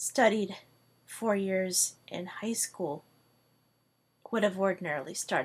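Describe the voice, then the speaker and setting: At a very slow pace, a woman of medium pitch speaks with fairly even intonation. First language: Hungarian. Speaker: language tutor. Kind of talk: video monologue.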